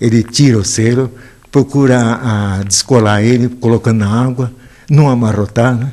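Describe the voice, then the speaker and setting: Its pitch moves in an ordinary way. The tone is dark and mellow, with some breathiness. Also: man. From Guaxupé, Minas Gerais, Brazil. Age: 80s+. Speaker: stamp collector. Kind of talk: interview answer. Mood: calm, fond. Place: home room. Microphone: handheld.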